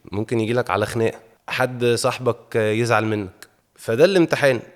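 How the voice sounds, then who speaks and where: A man talks at a moderate pace. His voice is medium in pitch. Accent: Egyptian. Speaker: actor. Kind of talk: interview.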